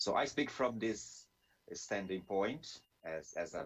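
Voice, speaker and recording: A man with a Brazilian Portuguese accent, fairly low pitch, lively intonation and a fairly slow pace. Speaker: theologian and Bible scholar. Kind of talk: webinar presentation. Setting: video call webinar. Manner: halting, with frequent fillers and restarts.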